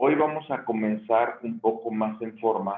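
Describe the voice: The voice comes across as gravelly and hoarse. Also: man.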